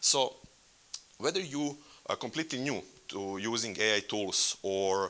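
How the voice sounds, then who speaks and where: Speaking fairly slowly with long, frequent pauses, a man with a Serbian accent uses lively intonation in a bright, sharp tone at a medium pitch. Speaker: workshop facilitator. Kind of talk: conference workshop presentation. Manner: halting.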